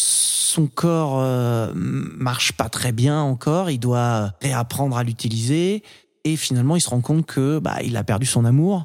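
A man at medium pitch, very slow in pace, with ordinary pitch variation. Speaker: podcast host. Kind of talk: casual chat about films, debate.

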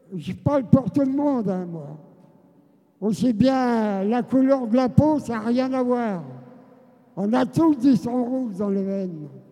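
A high-pitched man at a very slow pace, with lively intonation, big swings in loudness, long and frequent pauses, and noticeable background noise. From France, Seine-et-Marne. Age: 90s. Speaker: genocide survivor and former resistance fighter. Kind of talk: testimony.

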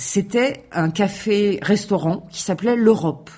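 Speaking very slowly, a woman uses a fairly high, dark, mellow, somewhat breathy voice with lively intonation. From France, Aubervilliers (Paris suburbs). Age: 40s. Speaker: local government community officer. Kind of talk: radio interview.

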